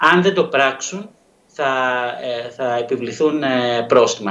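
Amid audible room echo, a man with a medium pitch speaks in a fairly bright tone, with vocal fry and lively intonation.

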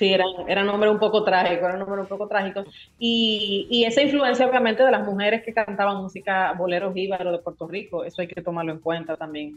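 A woman talks at a very fast pace in a Dominican accent. Her pitch varies in an ordinary way. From Dominican Republic. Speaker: musicologist. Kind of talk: casual radio interview. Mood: engaged, explanatory. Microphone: video call.

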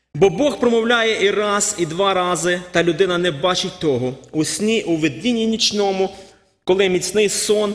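A man speaks with a high pitch and ordinary pitch variation. His pace is fairly slow. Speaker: preacher. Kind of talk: sermon. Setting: church. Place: church. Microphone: podium.

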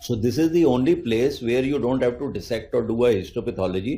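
A man is speaking. His tone is dark and mellow and somewhat breathy. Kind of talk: interview answer. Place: office. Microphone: handheld.

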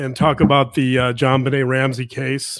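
Against a quiet background, the man keeps to a moderate pace. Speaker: podcast co-host. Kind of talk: live podcast introduction. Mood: relaxed, occasional laughs. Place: home room. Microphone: studio mic.

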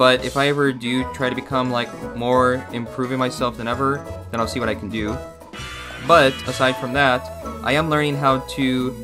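A man speaks at a moderate pace and medium pitch, with music playing in the background. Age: young. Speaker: voice actor. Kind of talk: commercial narration read.

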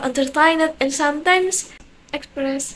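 With an Indonesian accent, a woman speaks at a fairly slow pace in a high pitch, with ordinary pitch variation. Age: young. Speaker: university student. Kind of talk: self-introduction to camera. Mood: cheerful, friendly. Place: home room. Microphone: phone near.

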